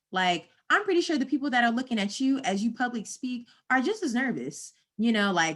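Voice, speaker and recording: Animated in tone, a woman with an American accent speaks at a high pitch with very wide pitch swings, on a very clean recording with a silent background. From US South, North Carolina. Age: 20s. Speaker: marketing professional. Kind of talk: live Q&A stream. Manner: casual, animated.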